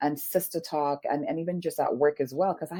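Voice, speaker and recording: A woman's fairly low voice, dark and mellow in tone, moves at a very fast pace with ordinary pitch variation in a dry, close sound with no echo. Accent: Caribbean. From Saint Lucia, Caribbean. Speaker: leadership coach. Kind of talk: interview. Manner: animated.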